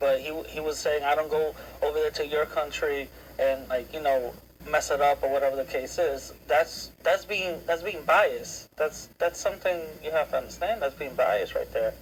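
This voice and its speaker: A man talks at a moderate pace. He has a Spanish accent. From United States, of Dominican parents. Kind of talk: heated debate.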